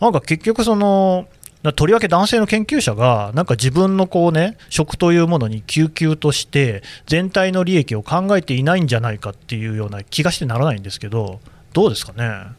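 Speaking at a fairly quick pace, a man with a fairly high voice makes very wide pitch swings. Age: 40s. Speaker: newspaper podcast host. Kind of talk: casual interview.

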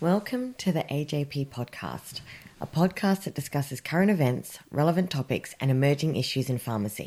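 A woman speaks at a moderate pace with an Australian accent, her very deep, low pitch carrying a dark, mellow tone and lively intonation. The recording is very clean, with a silent background. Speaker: podcast host. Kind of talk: scripted intro and outro.

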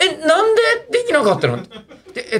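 A man speaks here. His intonation is lively. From Japan, western Tokyo (Fussa). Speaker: comedian. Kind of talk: casual chat.

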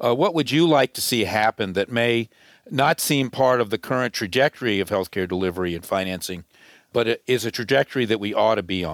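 A man has an unremarkable speaking voice at a medium pitch, with lively intonation and a fairly quick pace. The sound is dry and close with no echo, in a very clean recording with a silent background. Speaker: podcast host. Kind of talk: interview questions.

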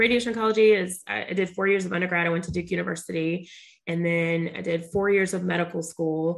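With an American accent, a woman talks in an unremarkable speaking voice at a fairly low pitch, a fairly quick pace and fairly even intonation. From US South, Charlotte, North Carolina. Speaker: radiation oncologist and entrepreneur. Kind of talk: interview conversation.

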